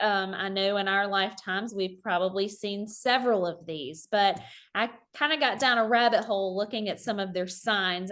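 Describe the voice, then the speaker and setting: Speaking at a moderate pace, a woman talks with a Southern US accent. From South Carolina. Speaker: high school economics teacher. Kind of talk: online teacher workshop presentation. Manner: casual, conversational.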